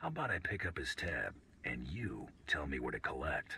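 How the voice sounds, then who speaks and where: A man talks in a put-on character voice at a moderate pace. Background noise is clearly audible. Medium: video game. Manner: dry, laconic.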